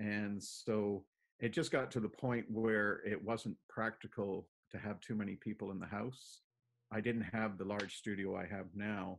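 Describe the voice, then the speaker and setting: A man with a Canadian accent, fairly low in pitch, fairly slow, with fairly even intonation. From Toronto, Canada (born in Plymouth, England); Toronto. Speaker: painter; interviewee. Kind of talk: casual interview. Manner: halting, many fillers. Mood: relaxed, reminiscing. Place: home room. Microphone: video call.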